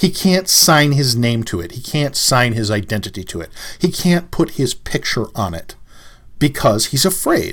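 Pitch swinging very widely, a man speaks at a fairly high pitch and a moderate pace. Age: 50s. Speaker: martial arts podcast host. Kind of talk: solo commentary podcast.

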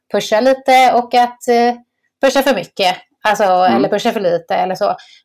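A woman talks at a moderate pace, her intonation lively and varied. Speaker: podcast host. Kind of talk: casual chat.

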